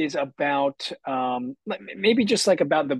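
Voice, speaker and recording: A man talks fairly slowly with lively intonation, in an ordinary speaking voice. The sound is dry and close with no echo. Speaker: podcast host. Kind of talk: casual interview.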